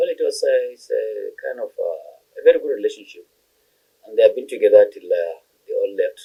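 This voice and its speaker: A man with a northern Nigerian accent speaks at an extremely high pitch and a fairly quick pace, using monotone, flat intonation, a dark, mellow tone, big swings in loudness and long, frequent pauses. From northern Nigeria, Bauchi State. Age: 60s. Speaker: retired chartered accountant. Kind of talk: interview. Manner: halting.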